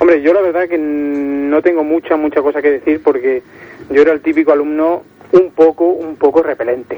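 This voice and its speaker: The speaker talks at a moderate pace in a monotone, flat intonation against noticeable background noise. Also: man, fairly high pitch for a man. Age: 20s. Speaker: caller. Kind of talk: casual chat.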